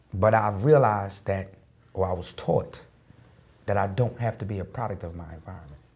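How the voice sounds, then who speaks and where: A man with an American accent, fairly low in pitch and somewhat breathy, at a fairly quick pace with long, frequent pauses, big swings in loudness and ordinary pitch variation. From US Northeast, Newark, New Jersey. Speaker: motivational speaker. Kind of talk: talk show conversation.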